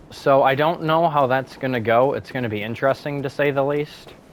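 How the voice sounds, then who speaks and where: At a moderate pace, a man speaks in a medium-pitched voice over noticeable background noise. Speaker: gaming streamer. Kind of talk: gameplay commentary. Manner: energized, louder than usual; casual, rambling with fillers.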